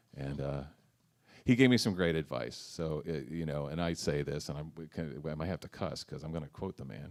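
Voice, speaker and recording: A man speaks fairly quickly in a very deep, low pitch with vocal fry. His pitch variation is ordinary. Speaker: blues harmonica player and singer; former rower. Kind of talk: interview. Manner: hesitant, many fillers.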